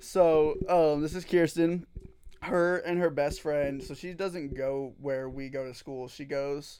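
A man's unremarkable speaking voice, fairly high in pitch, at a fairly slow pace, with fairly even intonation and big swings in loudness. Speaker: podcast co-host, college student. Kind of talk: casual chat.

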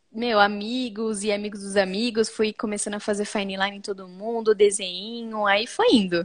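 A woman's medium-pitched voice, flat and monotone, at a moderate pace with hardly any pauses. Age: 20s. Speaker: tattoo artist. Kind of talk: casual chat. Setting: video call.

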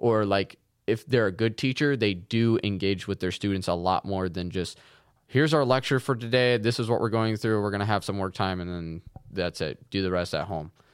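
This man has a plain, everyday voice, fairly low in pitch, and talks at a fairly quick pace on a very clean recording with a silent background. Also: ordinary pitch variation. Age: 20s. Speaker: podcast co-host. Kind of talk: casual chat.

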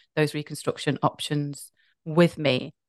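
At a moderate pace, a woman speaks with a very deep, low pitch, in a dry, close sound with no echo and a quiet background. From UK. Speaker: patient advocate and podcast host. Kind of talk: interview, personal testimony.

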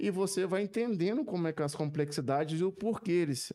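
With lively intonation and a dark, mellow tone, a man talks at a moderate pace. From Brazil, Minas Gerais (Zona da Mata). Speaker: coffee quality specialist. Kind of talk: casual chat. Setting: studio.

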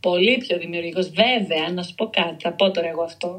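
A woman speaks in a somewhat breathy voice. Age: 30s. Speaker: writer. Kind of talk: casual interview chat.

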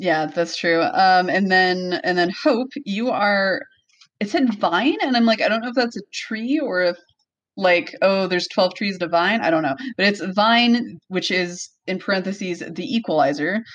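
A woman's normal speaking voice, medium in pitch, fairly slow in pace, with lively intonation. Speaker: podcast host. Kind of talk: casual chat. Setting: home room with echo.

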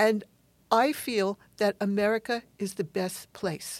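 A woman's medium-pitched voice is captured in a very clean recording with a silent background. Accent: New York. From New York City, Queens. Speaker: science fiction author and academic. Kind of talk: interview. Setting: studio.

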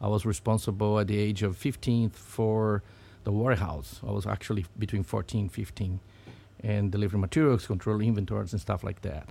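A man talks at a fairly quick pace in a fairly low pitch with a dark, mellow tone. The recording is very clean, with a silent background. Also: ordinary pitch variation. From Brazil, Sao Paulo. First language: Portuguese. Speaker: business owner. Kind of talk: interview conversation. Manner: halting, with fillers.

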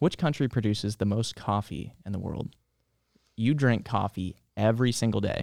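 This man has an unremarkable speaking voice, medium in pitch, at a moderate pace with ordinary pitch variation. The sound is dry and close, with no echo. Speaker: library podcast host. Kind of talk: casual chat. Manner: friendly, conversational.

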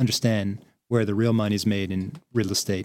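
With an East Coast American accent, a man talks using ordinary pitch variation. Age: 30s. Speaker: real estate investor. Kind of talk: casual chat.

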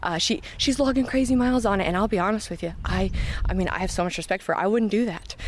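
Over noticeable background noise, a woman with an American accent speaks at a very fast pace, her medium pitch showing ordinary variation. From Iowa, Knoxville. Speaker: trail club organizer. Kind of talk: interview.

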